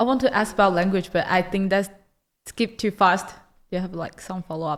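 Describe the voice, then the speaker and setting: A woman speaks with a Mandarin accent. Her pace is moderate. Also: medium pitch for a woman, ordinary pitch variation. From Taiwan. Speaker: student. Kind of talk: casual chat.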